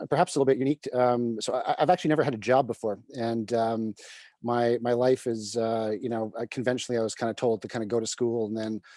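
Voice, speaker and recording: A man's medium-pitched voice with a dark, mellow tone, a Canadian accent, fairly even intonation and a very fast pace, in dry, close sound with no echo. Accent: Canadian, noticeable to UK listeners. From Canada, Vancouver. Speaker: private equity CEO. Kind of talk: interview on live video call. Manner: halting with many fillers.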